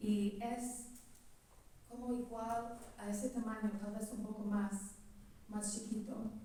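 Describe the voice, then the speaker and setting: A woman's fairly high, monotone voice at a very slow pace, broken by long, frequent pauses, with audible room echo and noticeable background noise. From California, US. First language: English (speaking Spanish). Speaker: relative of the novel's protagonist. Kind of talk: public talk at book presentation. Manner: halting.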